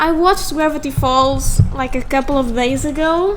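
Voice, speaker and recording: Over noticeable background noise, a woman with a non-native accent speaks at a high pitch and moderate pace. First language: not English. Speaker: digital artist YouTuber. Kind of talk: casual drawing commentary. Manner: halting, self-correcting.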